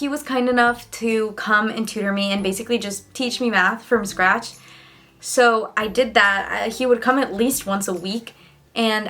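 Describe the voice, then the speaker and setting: With a Spanish accent, a woman talks at a moderate pace. Her fairly high voice shows ordinary pitch variation. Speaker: student vlogger. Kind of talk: casual vlog talk. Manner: casual, filler-heavy.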